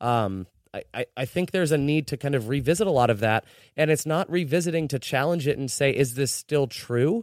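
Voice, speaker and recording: A man with an unremarkable speaking voice talks at a fairly quick pace with a fairly high pitch and lively intonation, in a very clean, dry, close recording with a silent background and no echo. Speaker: podcast host. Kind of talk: casual chat. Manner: joking.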